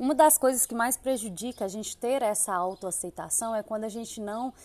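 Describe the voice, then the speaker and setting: In a quiet background, a woman talks at a moderate pace with ordinary pitch variation. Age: 30s. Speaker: podcast host. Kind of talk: solo podcast monologue. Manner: animated.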